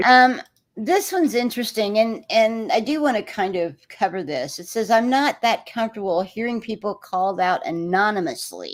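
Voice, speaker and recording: An American accent marks this woman's fairly high voice, which moves in very wide pitch swings. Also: moderate pace. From Texas. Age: 60s. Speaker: livestream host. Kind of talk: livestream discussion.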